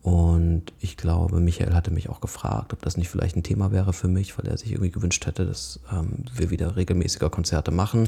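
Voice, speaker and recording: A man with a very deep, low pitch and a dark, mellow tone speaks with vocal fry and ordinary pitch variation, taking hardly any pauses. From southern Hesse (Odenwald), Germany. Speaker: theatre dance dramaturg and concert curator. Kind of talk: casual interview. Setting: home kitchen.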